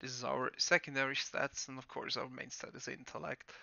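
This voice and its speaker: A man speaks with a German accent. His pitch sits fairly high. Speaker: gaming guide creator. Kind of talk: tutorial. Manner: hesitant, many fillers.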